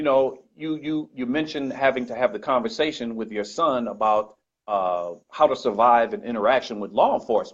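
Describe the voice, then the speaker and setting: Lively intonation runs through a man's normal speaking voice, a normal speaking voice delivered at a fairly quick pace with hardly any pauses. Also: medium pitch for a man. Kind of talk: casual chat.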